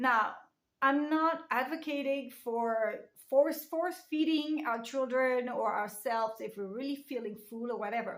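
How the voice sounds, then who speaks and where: In a French accent, a woman talks at a high pitch and a fairly slow pace with ordinary pitch variation. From France. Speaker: lifestyle vlogger. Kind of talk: casual talk to camera.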